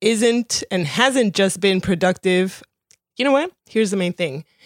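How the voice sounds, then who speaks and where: In a very clean recording with a silent background, a woman's medium-pitched voice sounds dry and close, without any echo. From Colombia, raised in Miami. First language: Spanish. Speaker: podcast host and comedy booker. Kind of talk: casual chat.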